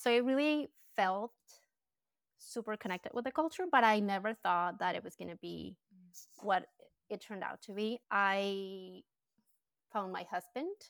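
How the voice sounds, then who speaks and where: A woman with a Colombian accent speaks at a medium pitch with ordinary pitch variation and big swings in loudness. The recording is very clean with a silent background, and she takes long, frequent pauses. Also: moderate pace, dry, close sound with no echo. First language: Spanish. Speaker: branding and design business owner. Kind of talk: casual interview chat.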